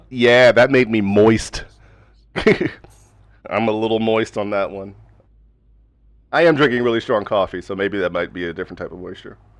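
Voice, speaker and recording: A man with an American accent speaks at a moderate pace in a medium pitch, with ordinary pitch variation, big swings in loudness, and long, frequent pauses. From New York City, Queens. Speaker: sim racing streamer. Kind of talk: casual chat. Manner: halting.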